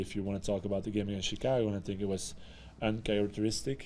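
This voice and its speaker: Speaking at a fairly quick pace, a man with a fairly low pitch and a dark, mellow tone is heard with audible room echo. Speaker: football head coach. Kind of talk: post-match press conference.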